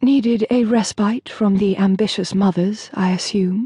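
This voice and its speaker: A female-sounding voice of medium pitch does a guttural, put-on character voice at a moderate pace. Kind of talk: refined, period-romance.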